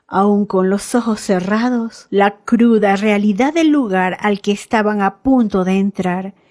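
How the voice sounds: Natural reading voice, nothing more.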